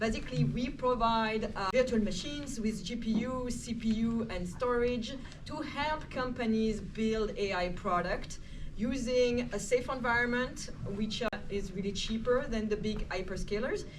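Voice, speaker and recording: Speaking with a French accent at a moderate pace, a woman uses a fairly high pitch and fairly even intonation, with audible room echo around her. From Switzerland. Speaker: AI computing manager, panelist. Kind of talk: panel discussion. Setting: stage with live audience.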